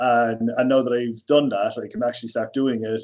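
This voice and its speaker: In an Irish accent, a man of medium pitch and dark, mellow tone speaks at a moderate pace with fairly even intonation. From Ireland. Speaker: personal trainer. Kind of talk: podcast interview.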